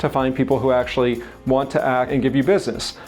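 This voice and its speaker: With music in the background, a man talks at a fairly high pitch. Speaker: real estate agent and content coach. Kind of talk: tutorial. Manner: occasional stumble over words.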